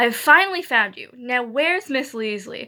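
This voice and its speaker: A woman puts on a raspy, growling character voice. She speaks at a moderate pace and a high pitch. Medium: read story.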